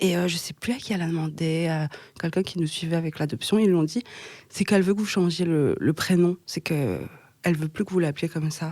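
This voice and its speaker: Her voice has a dark, mellow tone and sits at a fairly low pitch for a woman. The pitch varies in an ordinary way. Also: fairly quick pace. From Belgium, Hainaut region near Mons. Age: 20s. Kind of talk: podcast interview answer. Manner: hesitant, conversational.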